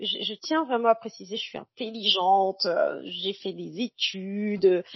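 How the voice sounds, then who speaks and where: A woman speaks at a very slow pace. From Cameroon. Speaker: journalist and feminist activist. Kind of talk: podcast interview testimony. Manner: hesitant, many fillers.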